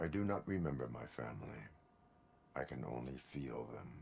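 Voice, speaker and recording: Putting on a character voice, a man speaks at a moderate pace in a very deep, low pitch. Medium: video game. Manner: flat, monotone, formal.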